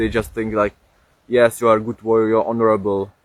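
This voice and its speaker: A fairly low-pitched man with a Czech accent, in dry, close sound with no echo. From Czech Republic. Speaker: streamer. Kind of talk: casual live stream chat. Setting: outdoors. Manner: halting, many fillers.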